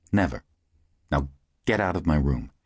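A man with vocal fry, lively intonation and a moderate pace. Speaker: audiobook narrator. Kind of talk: audiobook dramatic narration. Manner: animated; dramatic.

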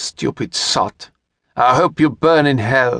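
A man growls in a put-on character voice at a medium pitch and a fairly slow pace, the sound dry and close with no echo. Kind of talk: aristocratic. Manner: cold, pitiless.

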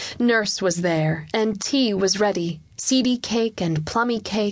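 A voice reading aloud in a natural voice

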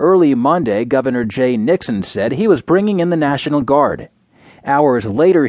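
A man's fairly high voice, an ordinary speaking voice, with lively intonation at a moderate pace. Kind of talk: newsreading. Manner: formal, even-paced, neutral delivery; measured, headline-style reading.

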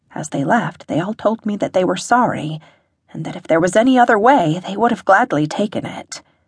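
A woman speaks at a fairly quick pace with a somewhat breathy, medium-pitched voice. Her intonation is lively, and the sound is dry and close with no echo. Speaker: audiobook narrator. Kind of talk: dramatic first-person audiobook narration of a fantasy story, with quoted dialogue.

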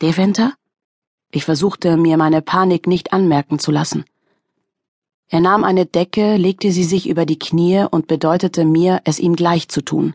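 In a tearful tone, a woman speaks at a fairly low pitch and moderate pace with long, frequent pauses, fairly even intonation and very even loudness, over a quiet background with a dry, close sound and no echo. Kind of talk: audiobook dramatic narration. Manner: tense, emotionally charged, hushed with near-tearful intensity.

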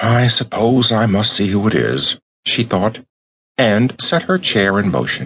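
A natural reading voice plays against a quiet background.

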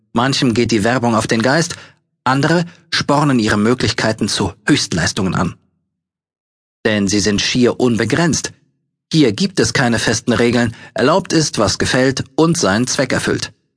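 Speaking at a fairly slow pace, a man uses lively intonation at a medium pitch. His loudness stays very even, broken by long, frequent pauses. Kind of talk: audiobook narration with sales-pitch urgency.

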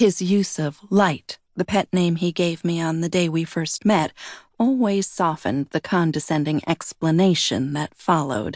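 The voice has an animated tone at a fairly slow pace. The background is quiet, and the sound is dry and close with no echo. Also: woman, fairly low pitch for a woman, ordinary pitch variation. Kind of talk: audiobook narration, first-person fiction with character dialogue. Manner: animated, expressive, shifting between narration and quoted dialogue.

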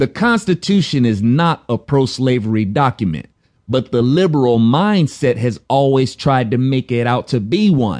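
An animated, angry man in an American accent, medium in pitch, with lively intonation at a moderate pace and a dry, close sound with no echo. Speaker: audiobook narrator and author. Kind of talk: audiobook reading of a political polemic, delivered as a sarcastic rant. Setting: studio. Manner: animated, sarcastic and pointed, with mock-voiced impressions and rhetorical questions; emphatic, angry and confrontational, addressing the listener directly.

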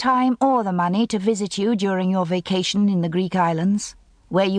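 The text is delivered in a natural reading voice whose pitch moves in an ordinary way.

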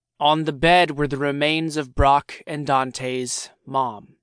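Against a quiet background, a man speaks in a normal speaking voice with a fairly high pitch and fairly even intonation. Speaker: audiobook narrator. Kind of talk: dramatic audiobook narration of a horror short story. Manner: tense, building suspense through grisly discovery; shifts into urgent, frantic character dialogue.

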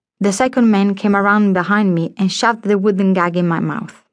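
At a moderate pace and with fairly even intonation, a woman with an unremarkable speaking voice talks over a quiet background. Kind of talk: dramatic audiobook narration, first-person historical fiction. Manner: tense, vivid, theatrical, building suspense with shifts into menacing character voices; measured, formal, literary, storyteller's pacing.

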